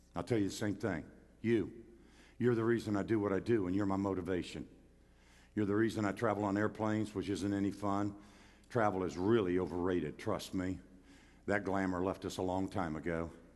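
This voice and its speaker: A fairly low-pitched man speaks at a fairly quick pace but with long, frequent pauses, and audible room echo surrounds him. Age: 70s. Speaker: pastor. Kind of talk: sermon. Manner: animated.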